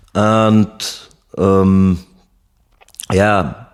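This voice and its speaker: A man speaks with a fairly low pitch and a German accent. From Germany (Heidelberg, Konstanz). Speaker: ex-soldier. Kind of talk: interview. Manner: halting, many fillers.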